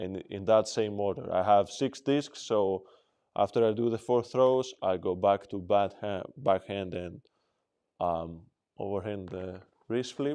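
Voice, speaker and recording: Against a quiet background, a dark, mellow voice moves at a fairly slow pace with ordinary pitch variation. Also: man, fairly low pitch for a man. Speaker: disc dog trainer. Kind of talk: demonstration tutorial. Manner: casual, thinking aloud.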